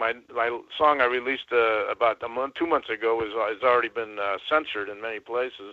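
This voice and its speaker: Using a plain, everyday voice, a man talks at a fairly quick pace with medium pitch and fairly even intonation. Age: 60s. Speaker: caller, songwriter. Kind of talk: call-in conversation.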